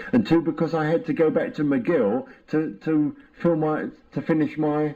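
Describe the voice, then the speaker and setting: At a moderate pace, a man with a fairly high pitch and a dark, mellow tone speaks with very wide pitch swings. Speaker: psychoanalysis patient. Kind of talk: therapy session interview. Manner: halting, repetitive.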